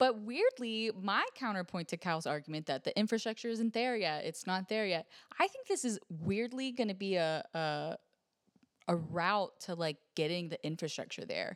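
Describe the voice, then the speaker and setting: A woman with a Pittsburgh accent and lively intonation, at a moderate pace, in a dry, close sound with no echo on a very clean recording with a silent background. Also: medium pitch for a woman. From Pittsburgh, US. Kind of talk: casual chat.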